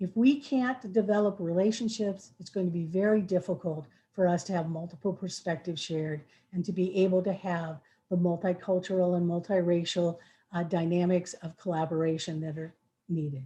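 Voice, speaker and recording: The voice is somewhat breathy with a dark, mellow tone and ordinary pitch variation. It moves at a moderate pace over a quiet background. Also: woman. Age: 60s. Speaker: equity trainer presenting to a school board. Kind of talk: presentation to a school board work session.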